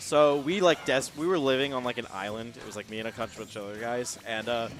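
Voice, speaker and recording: Fairly quick speech in an American accent, with big swings in loudness, ordinary pitch variation and noticeable background noise. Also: man, medium pitch for a man. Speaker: esports commentator. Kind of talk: live commentary. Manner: animated.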